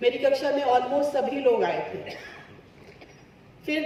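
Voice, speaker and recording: A soft-spoken woman is heard with audible room echo and noticeable background noise. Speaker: yoga teacher. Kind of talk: testimony.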